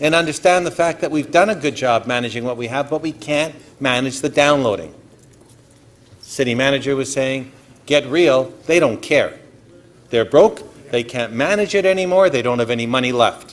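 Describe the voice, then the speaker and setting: The speaker talks at a moderate pace. The pitch varies in an ordinary way. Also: man, fairly high pitch for a man. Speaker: city councillor. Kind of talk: council debate speech. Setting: council chamber. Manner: loud.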